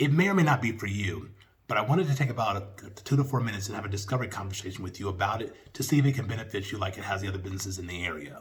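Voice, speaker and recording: A somewhat breathy man talks at a very fast pace in a fairly low pitch with ordinary pitch variation, and audible room echo surrounds his voice. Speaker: small business sales trainer. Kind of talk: tutorial with sales pitch role-play. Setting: video call.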